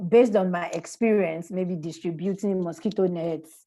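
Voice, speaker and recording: With a dark, mellow tone, a woman speaks in a fairly low voice and fairly even intonation. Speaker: webinar panelist. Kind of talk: webinar presentation. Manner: fast.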